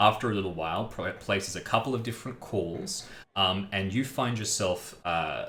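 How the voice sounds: Natural voice, reading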